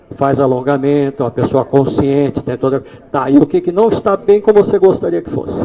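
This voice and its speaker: A man's fairly high voice with lively intonation over noticeable background noise. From Brazil. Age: 60s. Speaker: holistic therapist giving a talk. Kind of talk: live demonstration lecture.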